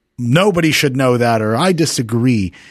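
In an American accent, the speaker goes at a moderate pace with a dry, close sound and no echo. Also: man. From New Jersey. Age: 40s. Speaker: university founder. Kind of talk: interview.

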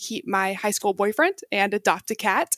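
In a very clean recording with a silent background and a dry, close sound with no echo, a woman with an American accent and an ordinary speaking voice talks fairly quickly at a fairly high pitch. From Texas. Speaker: investment analyst. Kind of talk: interview storytelling.

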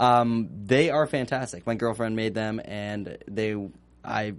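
A man speaks at a fairly slow pace. His pitch sits in the middle and varies in an ordinary way. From Northern California. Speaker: associate producer, TV after-show panelist. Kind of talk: casual chat. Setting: studio.

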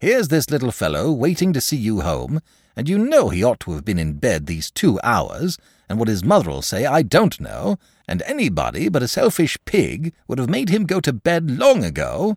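A man puts on a character voice at a medium pitch, with very wide pitch swings, vocal fry and a slightly husky edge at a moderate pace. The sound is dry and close with no echo, on a very clean recording with a silent background.

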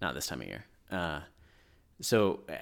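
On a very clean recording with a silent background, a man talks at a fairly quick pace with vocal fry. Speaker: podcast co-host. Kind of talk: casual chat. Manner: fast, mumbling.

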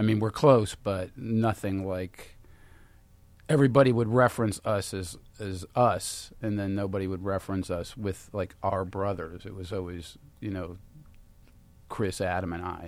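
The speaker has an unremarkable speaking voice with fairly even intonation. The pace is moderate. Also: man, fairly low pitch for a man. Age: 40s. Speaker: podcast co-host. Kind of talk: casual chat.

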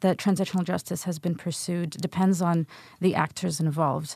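At a moderate pace over a quiet background, a woman speaks in a plain, everyday voice with a fairly low pitch. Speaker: policy researcher. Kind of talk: interview.

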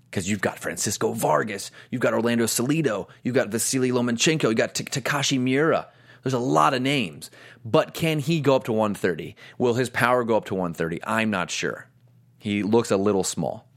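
In a very clean recording with a silent background, a man speaks with a medium pitch. His intonation is lively, with vocal fry. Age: 30s. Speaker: boxing podcast host. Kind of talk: casual commentary show. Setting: live stream studio.

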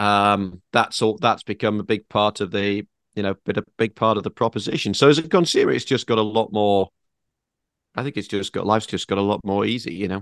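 With a British accent, a man speaks in a fairly low voice, and the sound is dry and close with no echo. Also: ordinary pitch variation, fairly quick pace. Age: 40s. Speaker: automotive journalist. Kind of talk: casual chat.

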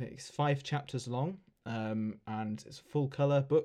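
In an English accent, a man speaks at a fairly slow pace with ordinary pitch variation, recorded very cleanly over a silent background. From England. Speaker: podcast host, RC aircraft hobbyist and author. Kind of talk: casual chat. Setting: internet call.

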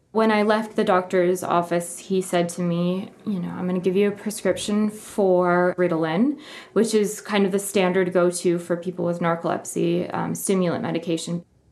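Speaking with a Midwestern American accent, a woman keeps a medium pitch, fairly even intonation, and a moderate pace with hardly any pauses. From US Midwest. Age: 30s. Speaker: journalist. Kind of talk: interview testimony.

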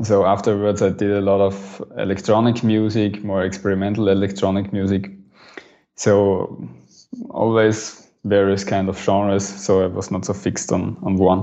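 With an Austrian accent, a man speaks at a moderate pace. His fairly low voice is monotone and flat. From Graz, Austria. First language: German. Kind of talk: casual interview. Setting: remote call.

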